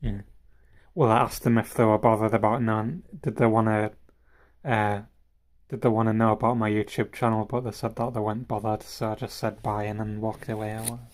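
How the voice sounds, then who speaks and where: A man speaks at a very fast pace in a fairly low pitch, with monotone, flat intonation. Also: very clean recording, silent background. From northern England (Harrogate, Gateshead family). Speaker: streamer. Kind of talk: casual live stream chat. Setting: live stream. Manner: halting, many fillers.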